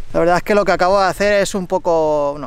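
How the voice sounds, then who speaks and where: A man at a fairly quick pace, dry sound with no echo. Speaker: bikepacking vlogger. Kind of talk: casual vlog chat. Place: open country. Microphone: phone near.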